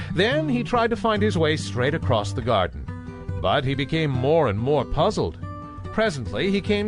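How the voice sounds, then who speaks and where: A man speaks at a fairly slow pace, his medium pitch moving in very wide swings. Music plays in the background. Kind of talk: bedtime story narration for children. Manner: calming, soothing.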